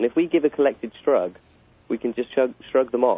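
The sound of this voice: A man speaks at a fairly quick pace and medium pitch, his lively intonation carrying a slightly husky edge in a dry, close sound with no echo.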